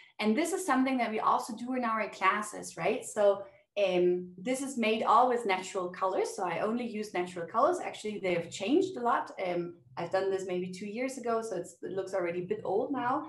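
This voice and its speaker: A woman's fairly high-pitched voice in a German accent, with ordinary pitch variation, a fairly quick pace, hardly any pauses, and audible room echo. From Germany. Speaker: language teacher. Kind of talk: interview. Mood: warm, enthusiastic. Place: home room. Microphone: webcam.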